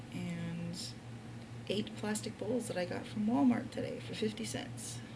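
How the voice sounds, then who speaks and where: A woman talks at a fairly slow pace. The room echo is audible and the background noise is noticeable. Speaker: vlogger. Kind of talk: casual vlog monologue. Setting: hotel room. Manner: whispering.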